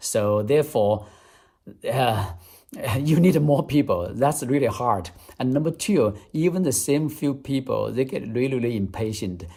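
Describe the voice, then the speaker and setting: A man's somewhat breathy, medium-pitched voice with a dark, mellow tone, lively intonation and a fairly slow pace. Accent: Chinese. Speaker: English-speaking coach, vlogger. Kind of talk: tutorial.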